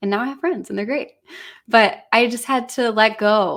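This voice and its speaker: With an American accent, this is an ordinary speaking voice, fairly slow, with ordinary pitch variation. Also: woman. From US Midwest, Illinois. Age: 20s. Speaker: singer. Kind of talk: testimony.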